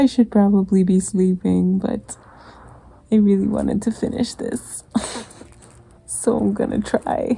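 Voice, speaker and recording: A woman speaks at a medium pitch in a dark, mellow, somewhat breathy tone, her intonation fairly even. Her pace is fairly slow, with long, frequent pauses. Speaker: craft vlogger. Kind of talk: casual vlog talk to camera. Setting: living room at home. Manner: soft-spoken.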